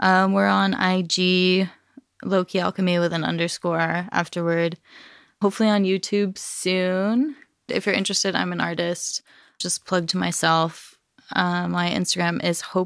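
A woman with an unremarkable speaking voice, fairly low in pitch, with an American accent, fairly even intonation and a moderate pace, on a very clean recording with a silent background. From Los Angeles, San Fernando Valley. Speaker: cannabis hash company owner. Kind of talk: casual interview chat.

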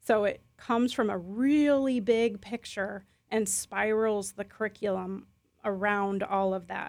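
This woman has an ordinary speaking voice at medium pitch with ordinary pitch variation. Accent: American. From US Midwest, Chicago/Milwaukee area. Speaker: school founder and head. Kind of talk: radio interview.

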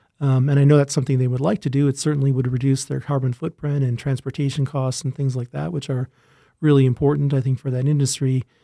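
Speaking very fast with an Upper Midwest accent, a man has a medium-pitched voice with a dark, mellow tone and fairly even intonation. The recording is dry and close, with no echo. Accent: Upper Midwest American. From Minnesota (Rochester). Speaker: plant breeder professor. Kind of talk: podcast interview.

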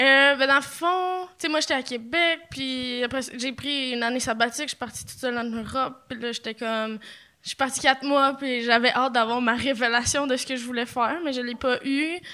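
Raised and projected, a woman's bright, sharp voice has a high pitch, fairly even intonation and a moderate pace. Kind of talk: casual chat. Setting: stage with audience.

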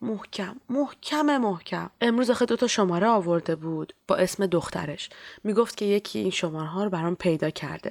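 A woman speaks in a normal speaking voice at a medium pitch with lively intonation, on a very clean recording with a silent background. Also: moderate pace. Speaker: storyteller and clinic volunteer. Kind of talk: scripted narration.

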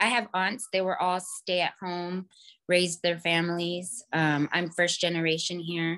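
Against a quiet background, a bright, sharp tone moves at a fairly slow pace with fairly even intonation. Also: woman, fairly low pitch for a woman. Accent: American. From California. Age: 30s. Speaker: caller. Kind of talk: call-in advice conversation. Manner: hesitant, many fillers.

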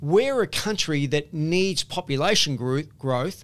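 Very slowly, a man speaks with a fairly high pitch in an Australian accent. The recording is very clean, with a silent background. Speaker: property investment author and company founder. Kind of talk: interview. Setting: in person on the Gold Coast. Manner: repetitive, stumbling restarts.

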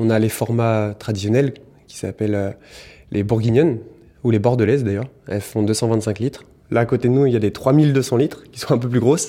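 In a very clean recording with a silent background, a man at medium pitch speaks with fairly even intonation and long, frequent pauses. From Burgundy, France. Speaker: cellar master's assistant. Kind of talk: casual interview. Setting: wine cellar. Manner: fast.

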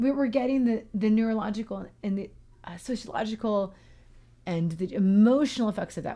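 A woman with an American accent speaks at a fairly high pitch, somewhat breathy. Her tone is dark and mellow on a very clean recording with a silent background. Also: big swings in loudness. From US West Coast, Portland. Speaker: music therapist. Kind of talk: casual chat. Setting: studio.

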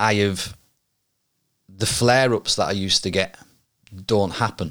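A man speaks at a fairly slow pace in a fairly low voice with ordinary pitch variation, recorded very cleanly against a silent background. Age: 40s. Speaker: podcast host. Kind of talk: solo monologue. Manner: halting.

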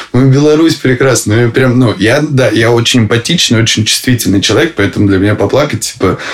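A man of medium pitch speaks very fast at very even loudness with ordinary pitch variation, over noticeable background noise. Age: 20s. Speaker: husband of a political prisoner. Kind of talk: interview.

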